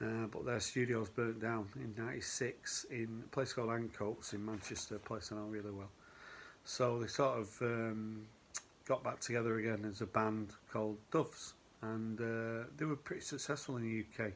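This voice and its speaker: Using fairly even intonation, a man speaks at a moderate pace and a medium pitch. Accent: Northern English. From northern England, Oldham. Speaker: vinyl record collector vlogger. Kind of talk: casual video vlog. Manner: casual, hesitant with fillers.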